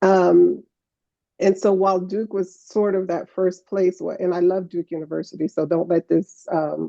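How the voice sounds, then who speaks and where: Her dark, mellow tone stays in a monotone, flat intonation as the woman speaks at a moderate pace. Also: medium pitch for a woman, dry, close sound with no echo. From New York City (Harlem), born in Guyana. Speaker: professor. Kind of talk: conference conversation. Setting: conference stage with audience. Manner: filler-heavy, conversational.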